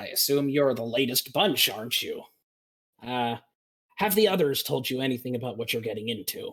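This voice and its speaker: Putting on a character voice, a man speaks at a moderate pace and medium pitch. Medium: actual play. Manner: dry, grumpy.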